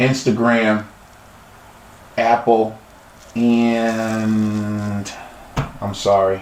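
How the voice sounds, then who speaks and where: The speech moves at a very slow pace with long, frequent pauses, a monotone, flat intonation, and audible room echo. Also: man. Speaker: podcast host. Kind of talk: interview podcast. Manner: halting.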